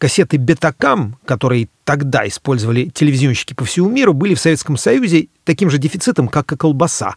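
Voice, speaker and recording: Recorded dry and close with no echo, a man speaks at a fairly high pitch and a fairly quick pace. His voice is somewhat breathy, with lively intonation. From Moscow, Russia. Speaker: podcast host and author. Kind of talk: scripted narration.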